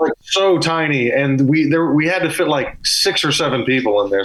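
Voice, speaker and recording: In a Southern US accent, the speaker talks at a moderate pace with lively intonation. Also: man. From US South (Mobile, Alabama). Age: 20s. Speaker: comedian. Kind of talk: casual chat. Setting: video call. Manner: halting.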